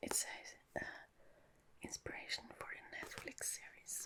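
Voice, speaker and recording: Someone whispers fairly slowly, with noticeable background noise in the clip. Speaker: ASMR creator. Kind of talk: casual talk to camera. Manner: whispered.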